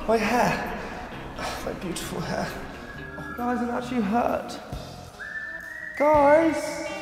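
Clear music plays behind a man with an extremely high voice and lively intonation, who speaks very slowly with long, frequent pauses and audible room echo. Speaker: presenter in a comedy trailer. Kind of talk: comedic exclamations. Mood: mock pain, dramatic whining. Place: hall.

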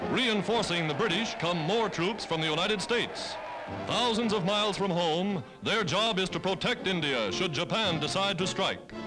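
Clear music plays in the background as the speaker talks at a moderate pace. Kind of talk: newsreel narration. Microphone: old recording.

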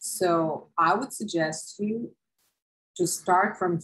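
Very slowly and somewhat breathily, a woman speaks with a fairly low pitch in a Serbian accent. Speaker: university professor. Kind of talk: lecture. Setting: video lecture with screen share. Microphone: webcam.

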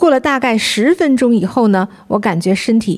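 An animated woman's voice, fairly high-pitched with very wide pitch swings, over noticeable background noise. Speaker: co-host. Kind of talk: livestream chat.

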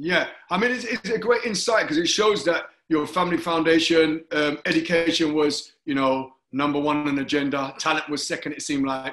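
A man with a London accent talks at a fairly quick pace in a fairly high pitch with ordinary pitch variation. The background is quiet, but room echo is audible. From London, Hackney. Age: 50s. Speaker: talk show host, former Olympic athlete. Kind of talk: interview. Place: home room. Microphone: video call.

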